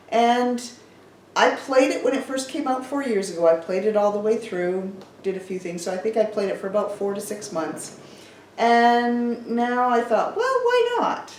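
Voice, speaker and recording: Noticeable background noise sits behind a woman speaking at a moderate pace. Her pitch is fairly high, with ordinary pitch variation. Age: old. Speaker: gaming grandmother. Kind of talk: casual talk to camera.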